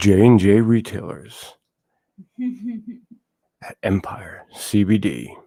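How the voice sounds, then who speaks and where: A put-on character voice with a low pitch moves at a very slow pace, broken by long, frequent pauses. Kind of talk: announcer delivery. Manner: promotional, showy.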